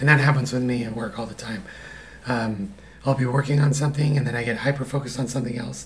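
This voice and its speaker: Fairly even in intonation, the voice races at a very fast pace over noticeable background noise. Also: man. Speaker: husband of host, guest. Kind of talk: casual chat.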